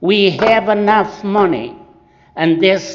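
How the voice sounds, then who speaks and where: This man speaks with a non-native accent at a high pitch, with ordinary pitch variation and audible room echo. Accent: foreign. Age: 70s. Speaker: resident speaking at public comment. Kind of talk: public comment at council meeting. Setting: city council meeting. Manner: impassioned.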